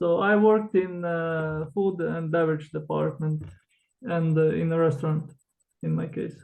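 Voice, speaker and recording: With a Croatian accent, a man speaks at a moderate pace in a fairly high pitch, keeping his intonation fairly even. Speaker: author, former cruise ship worker. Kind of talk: interview. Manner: hesitant, with fillers.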